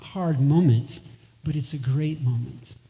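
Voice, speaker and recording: A man speaks with a fairly high pitch and ordinary pitch variation. His tone is dark and mellow, and somewhat breathy. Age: 60s. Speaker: musician. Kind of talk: stage talk between songs. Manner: halting.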